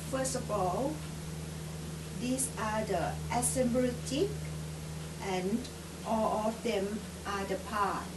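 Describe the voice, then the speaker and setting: Someone speaks with a Thai accent over loud background noise. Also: woman. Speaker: hobbyist builder. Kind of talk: tutorial narration. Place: home room. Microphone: camera far.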